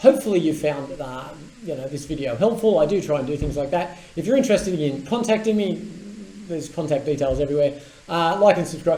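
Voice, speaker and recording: A man with an Australian accent at a very fast pace, fairly high-pitched, with lively intonation over noticeable background noise. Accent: Australian twang. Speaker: tech commentator and business owner. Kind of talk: casual explainer video with screen demo. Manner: animated.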